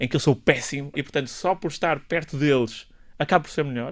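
Words come at a very fast pace in a very clean recording with a silent background. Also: man. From northern Portugal. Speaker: doctor and health policy professor. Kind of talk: radio interview. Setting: radio studio.

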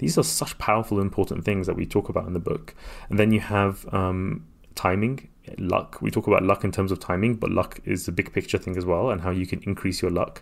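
A man speaks at a very deep, low pitch with vocal fry. His pace is fairly quick. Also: fairly even intonation. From London (born in Iraq, moved aged three). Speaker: author and entrepreneur. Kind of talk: interview.

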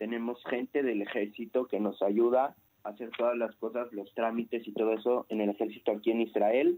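A man's dark, mellow voice with a Mexican accent and monotone, flat intonation. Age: 20s. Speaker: immigrant about to join the army. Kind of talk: radio interview.

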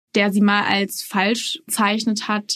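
A woman speaks in a flat, monotone way at a medium pitch, her voice somewhat breathy against a quiet background. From Austria, Salzburg. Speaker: journalist. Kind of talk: interview.

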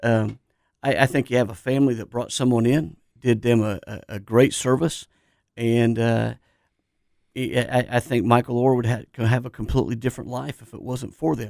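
A man with an American accent speaks in a normal speaking voice at a medium pitch and moderate pace, with fairly even intonation. His loudness swings widely on a very clean recording with a silent background. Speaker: businessman and football referee. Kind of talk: casual radio interview chat. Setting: radio studio.

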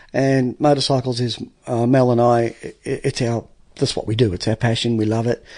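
A man with an Australian accent at a moderate pace, medium pitch, a dark, mellow tone and monotone, flat intonation, against a quiet background. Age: 40s. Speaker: painter and trade business owner. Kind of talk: casual chat. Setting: studio.

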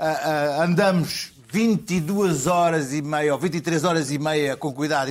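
This man has an ordinary speaking voice. His pitch is fairly high and its variation is ordinary. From Porto, northern Portugal. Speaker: journalist. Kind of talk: comedy panel chat.

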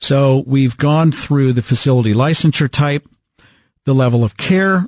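Against a quiet background, a man with a fairly high, somewhat breathy voice speaks in a passionate tone with ordinary pitch variation. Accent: American. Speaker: radio host. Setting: radio studio broadcast. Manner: emphatic, earnest, plain-spoken, persuasive, with repeated words and fillers; passionate, direct, salesmanlike.

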